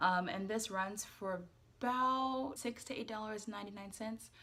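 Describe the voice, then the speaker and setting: A woman's medium-pitched voice with an American accent, a fairly quick pace and ordinary pitch variation, over noticeable background noise. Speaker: YouTube vlogger. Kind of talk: casual vlog talk with skincare tutorial. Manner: casual, many fillers.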